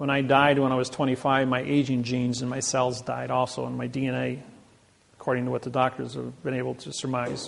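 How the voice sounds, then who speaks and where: Through audible room echo and noticeable background noise, a man with a Midwestern American accent talks at a fairly quick pace. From US Midwest, Indiana. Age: 60s. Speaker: seminar lecturer. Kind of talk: lecture.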